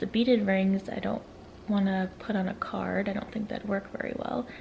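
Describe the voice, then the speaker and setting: Noticeable background noise runs through the clip. The speech keeps a moderate pace. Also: woman. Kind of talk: casual vlog talk to camera. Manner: whispering.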